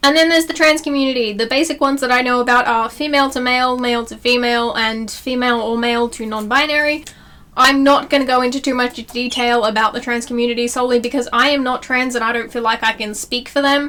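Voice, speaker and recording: With an Australian accent and a high pitch, a woman talks at a very fast pace with hardly any pauses and fairly even intonation, against noticeable background noise. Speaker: YouTuber. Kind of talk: casual vlog tutorial.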